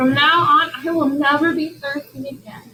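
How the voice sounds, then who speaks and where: A put-on character voice, high-pitched and sing-song. The pace is moderate. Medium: read story.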